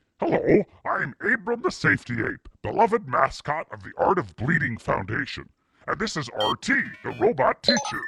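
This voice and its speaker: At a moderate pace, a man does a cartoonish character voice pitched high. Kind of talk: kids show host parody. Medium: puppet.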